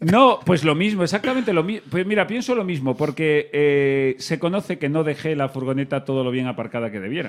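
A man talks fairly quickly with hardly any pauses, his tone animated. His fairly high pitch makes very wide swings. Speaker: comedy podcast host. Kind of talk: comedic banter.

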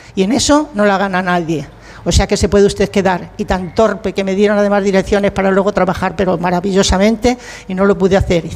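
Very fast speech with noticeable background noise. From Spain, Talavera de la Reina. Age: 80s+. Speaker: retired actress and writer. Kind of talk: casual interview chat.

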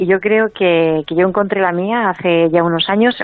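A woman has a normal speaking voice at a medium pitch. She speaks at a moderate pace with fairly even intonation. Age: 40s. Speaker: author and emotional wellbeing coach. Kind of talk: interview.

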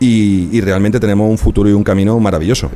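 A man's pitch varies in an ordinary way. The clip also carries noticeable background noise. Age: 40s. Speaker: museum founder and video game entrepreneur. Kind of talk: live radio interview. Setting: live broadcast from a museum.

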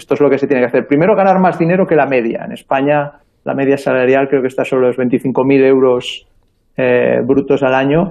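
It is an ordinary speaking voice, a man's at a fairly high pitch. He speaks at a fairly quick pace. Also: ordinary pitch variation. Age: 40s. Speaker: early-retired investor and author. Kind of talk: radio interview. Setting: remote call from abroad.

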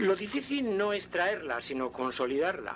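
A man's high voice leaps through very wide pitch swings while he keeps a moderate pace. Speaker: actor voicing a philosopher. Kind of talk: recreated speech.

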